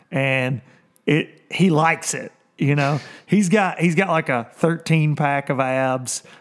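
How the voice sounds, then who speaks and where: At a very slow pace, a man with a fairly high pitch and ordinary pitch variation speaks in a very clean recording with a silent background. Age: 30s. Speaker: professional bass fishing angler and livestream host. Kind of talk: casual livestream chat. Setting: livestream on video and social media.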